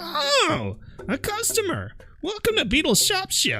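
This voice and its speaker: With clear music in the background, a put-on character voice speaks at a high pitch and a fairly slow pace. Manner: exaggerated, grating.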